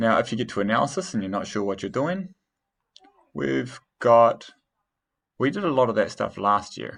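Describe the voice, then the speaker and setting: A man speaks with vocal fry and very wide pitch swings, leaving long, frequent pauses. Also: medium pitch for a man, moderate pace. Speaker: teacher. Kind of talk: tutorial. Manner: halting.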